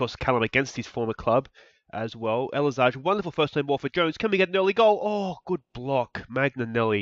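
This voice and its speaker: A man with an Australian accent speaks at a fairly quick pace with lively intonation. The sound is dry and close with no echo, over a quiet background. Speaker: video game streamer. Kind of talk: gameplay commentary. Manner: animated.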